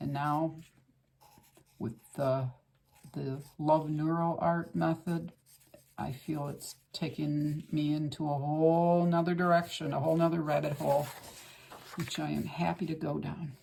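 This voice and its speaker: Long, frequent pauses from a woman with a very deep, low pitch, monotone, flat intonation and a fairly slow pace. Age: 60s. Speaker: art instructor. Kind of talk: tutorial. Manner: casual, conversational with fillers.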